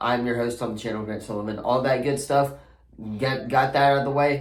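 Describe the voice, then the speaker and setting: Audible room echo and noticeable background noise accompany speech whose intonation is fairly even. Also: man. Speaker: sports channel host. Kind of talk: casual sports predictions talk.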